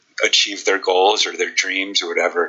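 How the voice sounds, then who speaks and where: Someone with an American accent speaks against noticeable background noise. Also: man. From Chicago, US Midwest. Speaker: speed coach and history teacher. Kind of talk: casual interview chat.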